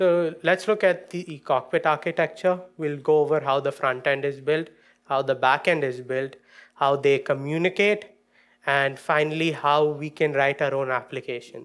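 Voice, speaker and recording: Against a quiet background, a man talks at a moderate pace with fairly even intonation. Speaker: conference presenter. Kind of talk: technical talk. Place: stage. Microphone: podium.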